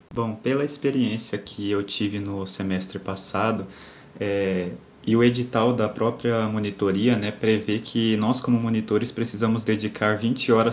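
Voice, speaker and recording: A man's fairly low, monotone voice with flat intonation. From Cuiabá, Brazil. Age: 20s. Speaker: engineering student and tutor. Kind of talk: casual panel discussion.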